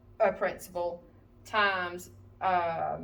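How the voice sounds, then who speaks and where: A woman of medium pitch speaks in a monotone, flat way, with audible room echo. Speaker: math teacher. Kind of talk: tutorial. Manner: casual, with many fillers.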